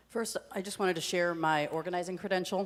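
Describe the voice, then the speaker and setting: Fairly low in pitch, a woman talks at a very fast pace. Her intonation is fairly even. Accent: American. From US Midwest, Chicago. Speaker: rabbi. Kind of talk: onstage panel discussion. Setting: stage with audience in a theatre.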